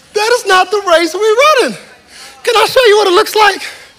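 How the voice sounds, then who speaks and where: A man is speaking at a moderate pace. Noticeable background noise runs behind him. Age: 30s. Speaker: pastor. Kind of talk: sermon. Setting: church with live congregation. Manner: animated.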